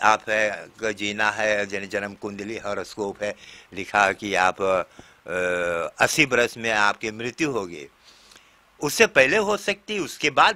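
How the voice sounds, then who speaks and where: A man with a fairly low pitch and a bright, sharp tone talks very slowly, his pitch varying in an ordinary way while his loudness swings widely. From Suriname, Nickerie district; Suriname. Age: 70s. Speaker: Hindi teacher. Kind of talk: interview storytelling. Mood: warm, often smiling. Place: home room. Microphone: handheld.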